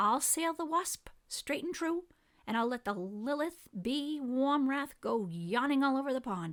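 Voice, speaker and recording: On a very clean recording with a silent background, a woman uses a high-pitched put-on character voice at a moderate pace. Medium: read story. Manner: crisp, bold.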